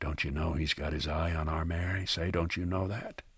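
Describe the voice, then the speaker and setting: In a put-on character voice, a man speaks quietly at a very deep, low pitch, with monotone, flat intonation and very even loudness. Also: moderate pace. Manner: low, confiding.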